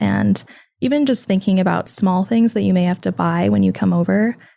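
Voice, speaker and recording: A woman with an American accent speaks over a silent background in a very clean recording. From California, Sacramento. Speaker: college student. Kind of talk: podcast interview.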